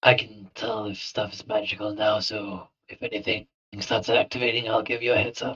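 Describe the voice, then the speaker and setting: A man puts on a raspy character voice at a fairly low pitch, speaking at a moderate pace in monotone, flat intonation with big swings in loudness. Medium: actual play.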